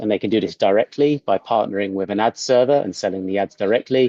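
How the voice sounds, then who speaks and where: In a British accent, a man talks with ordinary pitch variation. The sound is dry and close, with no echo. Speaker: product executive. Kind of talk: webinar presentation. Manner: hesitant with fillers.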